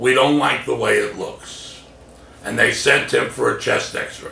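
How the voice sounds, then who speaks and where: A man speaks with an American accent. Background noise is noticeable throughout. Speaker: comedian and motivational speaker. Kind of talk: motivational speech, personal story told to camera.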